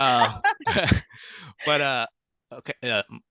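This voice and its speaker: A man speaks with a Vietnamese accent. His pace is fairly slow. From Vietnam, raised in US from age five. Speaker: children's book author and illustrator. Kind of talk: podcast interview. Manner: halting, many fillers and repetitions.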